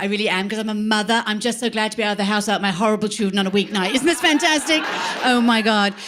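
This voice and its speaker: A woman's animated, fairly high voice with an English accent over noticeable background noise. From England. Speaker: comedian. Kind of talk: stand-up. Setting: stage with audience.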